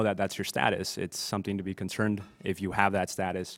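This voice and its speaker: A man with a plain, everyday voice speaks at a fairly low pitch. He moves at a fairly quick pace in a very clean recording with a silent background. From northwest Ohio, US (moved from Bolivia at nine). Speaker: immigrant advocate, panelist. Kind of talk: panel discussion. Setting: community center event with audience.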